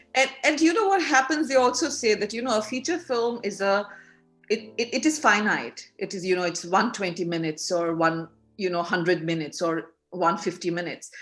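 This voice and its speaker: A woman with a Bengali accent speaks at a fairly quick pace in a medium pitch, her voice making very wide pitch swings over music in the background. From India, Bengali. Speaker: filmmaker. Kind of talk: interview. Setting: video call. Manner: animated.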